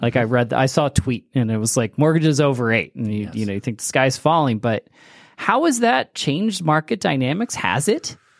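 A man with an American accent speaks in a normal speaking voice at medium pitch, fairly quickly and with lively intonation, in a dry, close recording that is very clean with a silent background. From El Paso, Texas. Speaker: podcast host, university academic. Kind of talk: interview.

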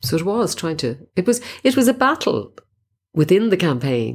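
A woman speaks in a Dublin accent at a fairly slow pace. Her voice shows vocal fry and very wide pitch swings. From Dublin, Crumlin. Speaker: reproductive rights activist. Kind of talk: interview testimony.

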